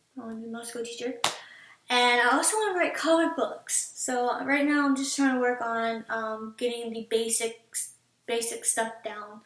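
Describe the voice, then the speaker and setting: At a moderate pace, a woman with a high-pitched voice keeps a fairly even intonation amid audible room echo. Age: 20s. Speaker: vlogger, call center worker. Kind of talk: casual vlog introduction. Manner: hesitant with many fillers. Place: home room. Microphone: webcam.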